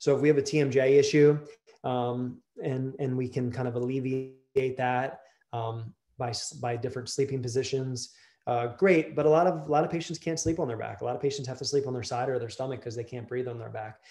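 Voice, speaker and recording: Over a quiet background, a man with a dark, mellow tone and medium pitch talks at a fairly quick pace with fairly even intonation. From Delaware. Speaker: dentist; presenter. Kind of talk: lecture. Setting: video call. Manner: casual with many fillers. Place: office. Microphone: webcam.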